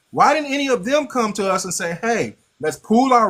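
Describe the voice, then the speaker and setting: With an American accent, a man speaks in a raised, projected, animated voice with very wide pitch swings. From Los Angeles. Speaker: live stream host. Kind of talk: casual debate.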